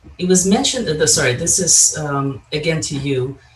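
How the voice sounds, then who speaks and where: Against noticeable background noise, a man's fairly high voice moves with ordinary pitch variation. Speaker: session chair moderating Q&A. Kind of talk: conference Q&A moderation.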